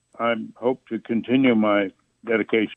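Speaking at a moderate pace with fairly even intonation, this is an unremarkable speaking voice with an American accent. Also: man. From US Midwest, northern Indiana. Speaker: author and attorney. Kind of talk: interview.

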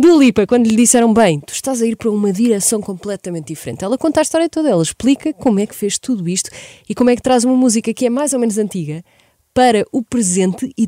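A woman talks very fast with lively intonation and big swings in loudness. Her fairly high voice has a dark, mellow tone in a dry, close sound with no echo. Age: 20s. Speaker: radio host. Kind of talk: radio music show presenting. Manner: animated.

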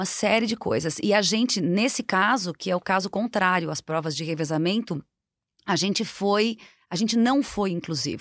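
On a very clean recording with a silent background and a dry, close sound with no echo, a woman with a plain, everyday voice speaks at a moderate pace and medium pitch with lively intonation. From southern Brazil, Rio Grande do Sul. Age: 50s. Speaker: marathon runner and sports marketing specialist. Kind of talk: casual interview.

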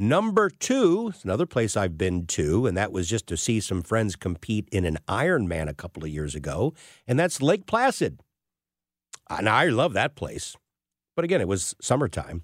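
A man speaks with a fairly low pitch and very wide pitch swings, recorded very cleanly with a silent background and a dry, close sound that has no echo. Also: moderate pace. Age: 60s. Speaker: fill-in radio host and financial planner. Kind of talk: talk radio monologue.

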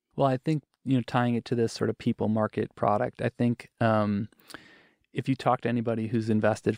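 Against a quiet background, a man speaks at a fairly quick pace and medium pitch with monotone, flat intonation, the sound dry and close with no echo. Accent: American. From Wisconsin, US Midwest. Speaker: venture capital investor. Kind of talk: podcast interview.

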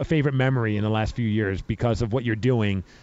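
A man with a New York accent, medium pitch, ordinary pitch variation and a very fast pace. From New York (Brooklyn). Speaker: podcast host. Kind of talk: casual interview. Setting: radio row at event. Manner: animated.

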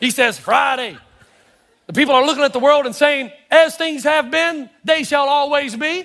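A man's extremely high-pitched voice, bright and sharp in tone, with ordinary pitch variation. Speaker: pastor. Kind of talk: sermon. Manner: fast.

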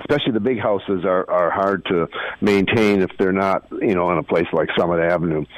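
A man with an Upper Midwest accent. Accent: Upper Midwest American. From Minneapolis, Minnesota. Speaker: author and architecture journalist. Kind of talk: casual interview.

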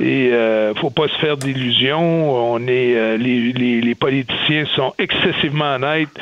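Over noticeable background noise, a man at medium pitch speaks at a very slow pace with fairly even intonation. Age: 50s. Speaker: business executive. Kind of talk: radio interview.

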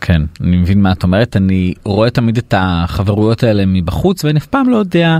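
A fairly low-pitched man talks at a fairly quick pace with hardly any pauses, lively intonation and very even loudness, the sound dry and close with no echo but noticeable background noise. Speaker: podcast host. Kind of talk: podcast interview. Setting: studio.

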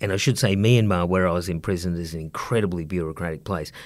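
Here a man speaks with an Australian accent. The recording is very clean, with a silent background. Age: 50s. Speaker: economics professor. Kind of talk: casual interview.

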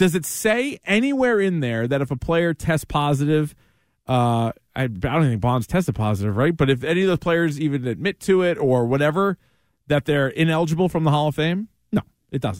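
Recorded dry and close with no echo on a very clean track with a silent background, a man with an ordinary speaking voice talks at a fairly quick pace and fairly high pitch, with lively intonation and very even loudness. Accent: American. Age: 30s. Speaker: sports radio host. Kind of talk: sports talk monologue.

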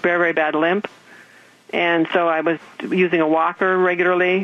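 Against noticeable background noise, a woman talks at a moderate pace in a fairly low pitch with fairly even intonation. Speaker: patient. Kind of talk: testimony. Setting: phone call.

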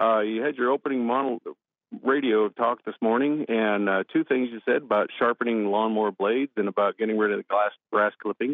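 In a normal speaking voice with an American accent, the speaker goes at a fairly quick pace with fairly even intonation. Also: man, medium pitch for a man. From US Pacific Northwest, Washington. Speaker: caller, listener. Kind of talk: recorded voicemail tip. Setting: phone message.

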